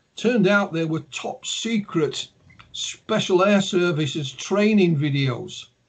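Using a Yorkshire accent, a man speaks very slowly in a high voice with ordinary pitch variation. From Yorkshire, northern England. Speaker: ufologist and author. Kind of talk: interview.

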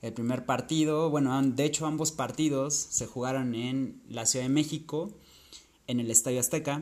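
In fairly even intonation, a man of medium pitch talks at a moderate pace. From Acapulco, Guerrero, Mexico. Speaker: football podcaster. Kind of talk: monologue recounting football statistics. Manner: hesitant, with fillers.

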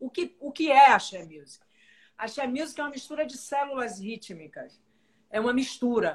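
Speaking at a moderate pace, a woman sounds animated and high-pitched. Her volume swings a lot from loud to soft. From Salvador, Bahia, Brazil. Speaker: live show host. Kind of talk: interview. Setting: livestream.

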